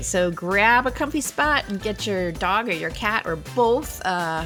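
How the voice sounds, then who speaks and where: A woman at a fairly slow pace with hardly any pauses, music playing in the background. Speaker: podcast host. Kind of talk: casual podcast conversation.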